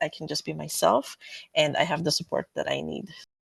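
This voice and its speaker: In a dry, close sound with no echo and a quiet background, a woman with a non-native accent speaks at a moderate pace. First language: not English. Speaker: community co-researcher. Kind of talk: panel discussion.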